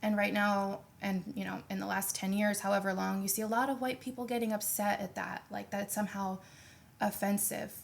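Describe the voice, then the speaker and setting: Somewhat breathy, a woman speaks at a fairly quick pace with an American accent. Her pitch is medium and her intonation fairly even. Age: young. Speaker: roundtable guest. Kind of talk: panel discussion.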